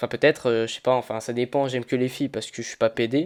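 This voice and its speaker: A man's very fast, monotone, flat delivery at a medium pitch, on a very clean recording with a silent background. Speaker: gaming commentator. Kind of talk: gameplay commentary over video.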